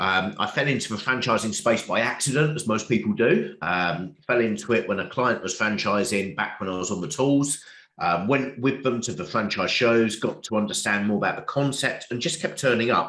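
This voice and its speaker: A man with an English accent, medium in pitch, at a moderate pace with lively intonation. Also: hardly any pauses. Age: 40s. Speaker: business author and coach. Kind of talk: interview.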